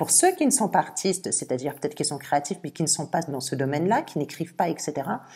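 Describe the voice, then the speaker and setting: A woman with a very deep, low pitch talks at a very fast pace, somewhat breathy, with ordinary pitch variation. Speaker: tarot reader. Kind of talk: tarot reading video. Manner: occasional stammering; animated.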